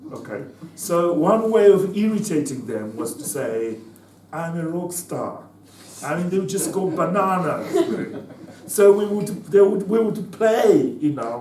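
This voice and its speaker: A man's high-pitched voice with very wide pitch swings, big swings in loudness and a fairly slow pace, plus audible room echo and noticeable background noise. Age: 70s. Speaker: former liberation fighter and political speaker. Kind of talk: talk to students. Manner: halting, many repetitions.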